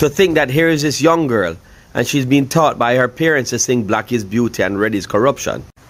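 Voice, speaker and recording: In a plain, everyday voice, a man speaks at a moderate pace and medium pitch with lively intonation on a very clean recording with a silent background. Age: 40s. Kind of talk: personal story to camera.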